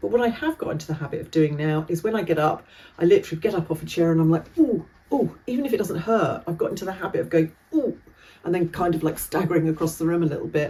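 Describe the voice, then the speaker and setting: Speaking with a British accent at a very fast pace, a woman has a fairly low, somewhat breathy voice with a dark, mellow tone and ordinary pitch variation. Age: 60s. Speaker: vlogger and driving instructor. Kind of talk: casual vlog monologue. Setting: standing by Christmas tree at home. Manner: chatty, hesitant with fillers.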